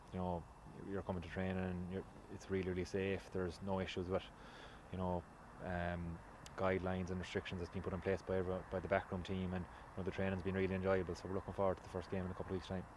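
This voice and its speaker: In a western Irish accent, a man talks at a very fast pace in a very deep, low voice with monotone, flat intonation. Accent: Irish (west of Ireland). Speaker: Gaelic football player. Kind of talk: interview.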